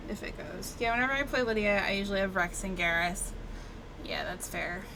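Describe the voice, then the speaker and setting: Amid noticeable background noise and audible room echo, a woman with an American accent speaks at a medium pitch with ordinary pitch variation. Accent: Southern US accent, sometimes faint. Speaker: gaming streamer. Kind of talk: live gameplay commentary. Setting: live stream. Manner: casual, chatty.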